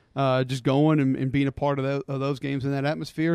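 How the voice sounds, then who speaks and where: A man's fairly high-pitched voice with an Alabama accent against a quiet background. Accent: Southern US (Alabama). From Alabama (Homewood, Birmingham area). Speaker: college football analyst and former player. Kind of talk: casual chat.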